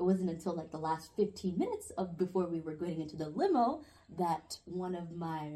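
A somewhat breathy woman's voice, dark and mellow in tone, at medium pitch and a moderate pace. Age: young. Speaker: podcast guest. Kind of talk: casual chat. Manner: giggly.

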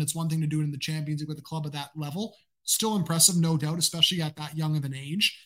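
The pace is very fast. The speaker has a Canadian accent. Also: man. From Canada. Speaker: football analyst and podcaster. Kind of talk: casual interview chat.

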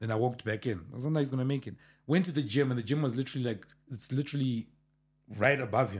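Very fast, somewhat breathy speech from a man at medium pitch with ordinary pitch variation. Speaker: producer or music manager. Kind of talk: casual chat.

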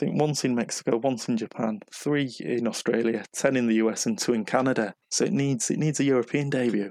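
A man speaks at a fairly quick pace with hardly any pauses, very even loudness, a medium pitch and ordinary pitch variation. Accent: northern English. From northern England. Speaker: music fan podcast guest. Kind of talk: casual chat.

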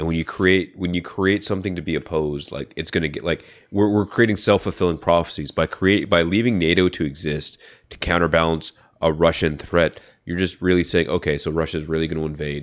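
The recording is very clean, with a silent background. A man with a very deep, low pitch speaks fairly quickly with fairly even intonation. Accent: Californian. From US West Coast, San Francisco Bay Area. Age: 30s. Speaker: university student and former marine. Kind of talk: casual chat.

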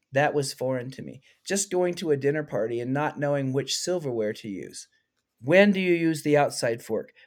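With an ordinary speaking voice, a man talks at a moderate pace and a fairly high pitch, showing ordinary pitch variation and big swings in loudness. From US, moved through many states. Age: 50s. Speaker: keynote speaker and former art teacher. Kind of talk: casual interview chat.

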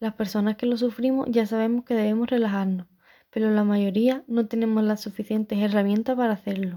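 Over a silent background in a very clean recording, a woman speaks fairly quickly in a fairly high, dark, mellow voice with monotone, flat intonation. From Andalusia, Spain (Chiclana, Cádiz). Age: 20s. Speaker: podcaster. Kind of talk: scripted monologue.

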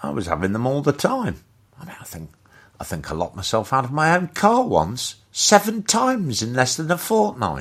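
Speaking at a moderate pace with a British accent, a man of medium pitch makes very wide pitch swings and big shifts in loudness. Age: 60s. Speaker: comedic ranter. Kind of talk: rant. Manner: halting.

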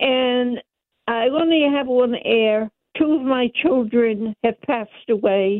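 Her pitch high and her pitch variation ordinary, a woman speaks at a very slow pace. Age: 90s. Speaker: caller. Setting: phone call.

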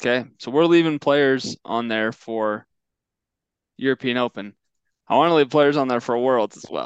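A man with an American accent at a medium pitch, a moderate pace with long, frequent pauses, big swings in loudness and a quiet background. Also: ordinary pitch variation, dry, close sound with no echo. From Oregon. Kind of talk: casual chat.

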